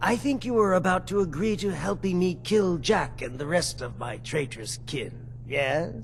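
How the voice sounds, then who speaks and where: Against clear background noise, a man performs in a put-on character voice. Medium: video game. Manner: smooth, manipulative.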